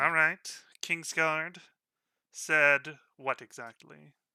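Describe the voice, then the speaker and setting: Putting on a character voice, a man talks at a very slow pace with a fairly high pitch. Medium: actual play. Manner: gruff, guarded.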